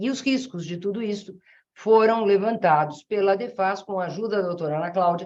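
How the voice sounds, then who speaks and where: A woman speaks at a fairly quick pace. Her medium pitch has ordinary pitch variation. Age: 60s. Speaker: family law jurist, association president. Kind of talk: webinar talk. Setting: online webinar. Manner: halting, with many fillers.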